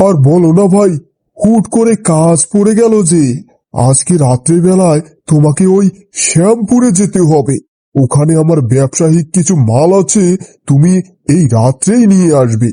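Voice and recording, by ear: A man in a cartoonish character voice speaks at a fairly slow pace, his pitch high and his intonation lively. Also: very even loudness.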